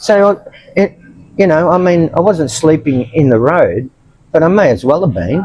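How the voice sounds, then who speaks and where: This man has an Australian accent and a fairly high pitch. He talks at a moderate pace with ordinary pitch variation. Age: 70s. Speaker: homeless expat. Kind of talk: interview testimony. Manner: halting.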